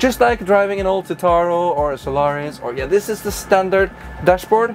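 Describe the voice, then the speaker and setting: Over music in the background, a man talks at a moderate pace with a high pitch and lively intonation. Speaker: bus reviewer and YouTuber. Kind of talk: vlog-style test drive presentation. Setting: inside a bus.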